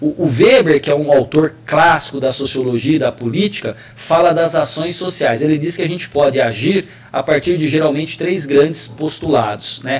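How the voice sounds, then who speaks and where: Over noticeable background noise, a man with a fairly high pitch and ordinary pitch variation talks at a moderate pace. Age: 40s. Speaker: political scientist and university professor. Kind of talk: interview on web radio. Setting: web radio live.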